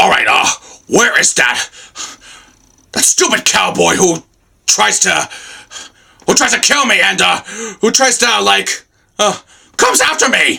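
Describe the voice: Using a put-on character voice pitched high, a man talks at a moderate pace with long, frequent pauses.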